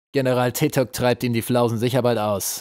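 The recording of this man's speech is very clean, with a silent background. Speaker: audiobook narrator. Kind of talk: dramatic audiobook narration, reading aloud. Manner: suspenseful, vividly expressive, shifting to gruff menacing tones for goblin characters.

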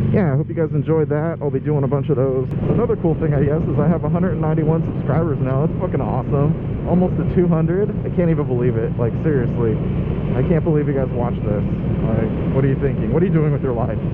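Loud background noise sits behind a man talking at a very fast pace. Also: ordinary pitch variation. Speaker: motorcycle vlogger. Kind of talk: casual vlog chat. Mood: upbeat, joking. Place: motorbike.

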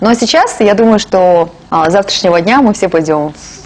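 Lively intonation runs through a plain, everyday voice. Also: woman. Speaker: TV host. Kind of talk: TV interview. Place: studio.

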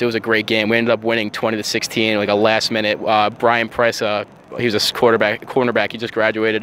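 A man with an American accent talks at a very fast pace in a medium pitch and monotone, flat intonation. The sound is dry with no echo, with light background noise. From Long Island, New York; New York. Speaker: college football player and ROTC student. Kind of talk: interview. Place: waterside. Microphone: handheld.

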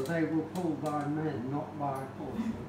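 Audible room echo and noticeable background noise around a man's voice. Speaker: speaker. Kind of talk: lecture. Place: hall. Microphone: camera far.

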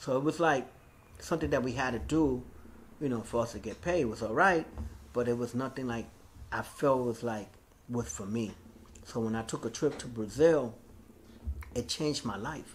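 Long, frequent pauses from a man at a moderate pace, ordinary pitch variation, light background noise. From New York, South Bronx; New York. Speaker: graffiti artist; interviewee. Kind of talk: oral history interview. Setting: recorded interview. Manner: casual, filler-heavy. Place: hall.

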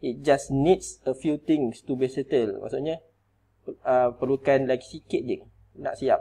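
Using a dark, mellow tone, a man speaks at a fairly slow pace in a medium pitch. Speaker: teacher. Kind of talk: tutorial.

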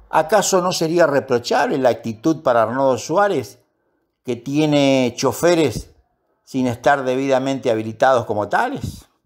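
In a very clean recording with a silent background, a man speaks fairly slowly at a medium pitch with ordinary pitch variation. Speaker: police union spokesman and commentator. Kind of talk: opinion commentary.

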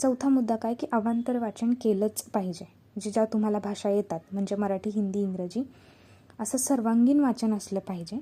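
The tone is dark and mellow. There's a somewhat breathy quality to the voice. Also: woman, fairly high pitch for a woman, ordinary pitch variation. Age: 20s. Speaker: YouTuber and exam aspirant. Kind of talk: advice talk to camera.

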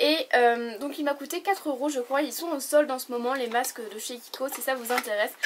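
Moderate pace and ordinary pitch variation, with light background noise. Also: woman. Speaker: beauty YouTuber. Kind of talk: product review vlog. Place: home room. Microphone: camera far.

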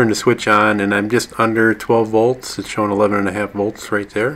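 A man with a fairly low voice. He talks at a fairly quick pace. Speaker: hobbyist tractor owner. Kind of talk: tutorial. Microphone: phone near.

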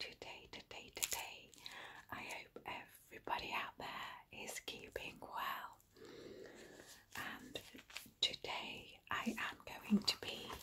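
Whispering in a gentle tone, a woman speaks very slowly with long, frequent pauses. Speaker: ASMR content creator. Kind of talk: ASMR whispered talk to camera. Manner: gentle, whispered.

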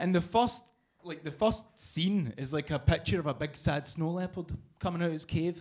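This man has a Scottish accent and a high pitch. He talks at a moderate pace over a quiet background. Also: ordinary pitch variation. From Scotland. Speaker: comedian. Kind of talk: stand-up. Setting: stage with audience. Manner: animated. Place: cafe. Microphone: handheld.

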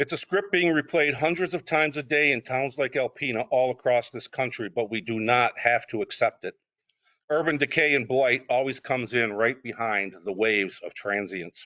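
This man has an unremarkable speaking voice, medium in pitch, with an American accent, lively intonation and a moderate pace. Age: 60s. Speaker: city council applicant. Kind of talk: public comment speech. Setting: council meeting. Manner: formal.

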